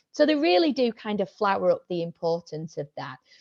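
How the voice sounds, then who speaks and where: A woman in a Yorkshire accent, dark and mellow in tone, with lively intonation and a dry, close sound with no echo. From Yorkshire, northern England. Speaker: senior lecturer and researcher. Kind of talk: academic seminar talk. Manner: hesitant, many fillers.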